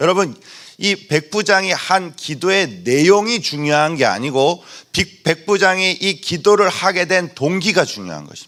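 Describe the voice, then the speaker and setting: On a very clean recording with a silent background, a man speaks fairly slowly in a high pitch with a bright, sharp tone, ordinary pitch variation and big swings in loudness. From Busan, South Korea. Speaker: pastor. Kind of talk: sermon. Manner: concise and forceful.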